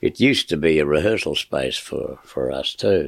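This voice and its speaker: The sound is dry and close with no echo. A man with a very deep, low voice and an Australian accent speaks at a moderate pace. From Melbourne, Australia. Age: 70s. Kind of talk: interview storytelling. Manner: halting.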